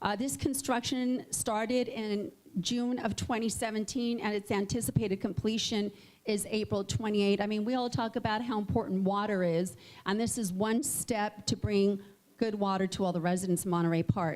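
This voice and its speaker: Speaking at a moderate pace, a woman uses an unremarkable speaking voice at medium pitch with ordinary pitch variation. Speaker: mayor. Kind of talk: public speech.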